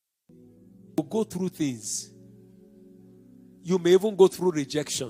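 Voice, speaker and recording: Lively intonation and big swings in loudness from a high-pitched man at a fairly slow pace, dry and close with no echo, with music in the background. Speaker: pastor, preacher. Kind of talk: sermon.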